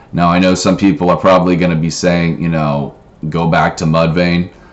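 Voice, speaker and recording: With noticeable background noise behind him, a man speaks in a very deep, low pitch and fairly even intonation. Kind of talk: casual talk to camera. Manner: hesitant, filler-heavy.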